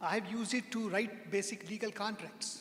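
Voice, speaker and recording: A man speaks in a high pitch with a non-native accent. Audible room echo and noticeable background noise fill the recording. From India. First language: not English. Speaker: software consultant, speaker. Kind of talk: lecture. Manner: halting.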